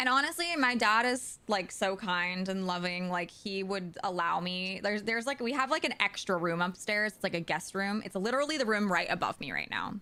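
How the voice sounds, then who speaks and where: A woman speaks loudly at a medium pitch and a fairly quick pace, her tone animated, bright and sharp, her intonation lively, with hardly any pauses. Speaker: video game streamer. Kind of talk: casual chat. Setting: live stream from home.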